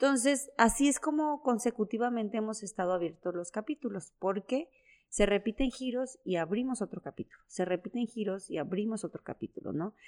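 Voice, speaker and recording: A woman's fairly high, a normal speaking voice, fairly quick with hardly any pauses and lively intonation, in a very clean, silent recording with dry, close sound and no echo. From Mexico, Chiapas (San Cristóbal de las Casas). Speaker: entrepreneur. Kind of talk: interview.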